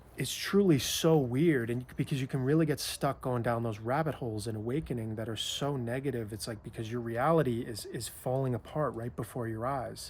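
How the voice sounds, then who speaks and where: With ordinary pitch variation and a somewhat breathy sound, a man speaks at a fairly quick pace. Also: medium pitch for a man. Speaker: spiritual coach and author. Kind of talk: casual reflective talk to camera about spiritual awakening. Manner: reflective, conversational, with hesitations and fillers.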